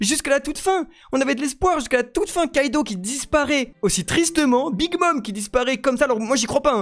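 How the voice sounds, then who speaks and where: The speaker is a man whose pitch swings very widely. He rushes along at a very fast pace. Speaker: manga commentator on live radio stream. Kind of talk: casual live stream commentary. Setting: live stream. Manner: loud; animated.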